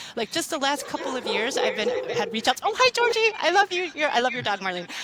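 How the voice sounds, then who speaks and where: A woman's animated, extremely high-pitched voice at a very fast pace, with very wide pitch swings and noticeable background noise. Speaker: law librarian, professional association leader. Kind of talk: podcast interview.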